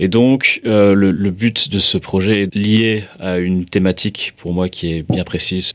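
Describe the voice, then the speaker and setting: A man's fairly low voice at a very slow pace, fairly even in intonation, with hardly any pauses. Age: 20s. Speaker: volunteer and association board member. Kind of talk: personal testimony. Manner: hesitant, many filler sounds.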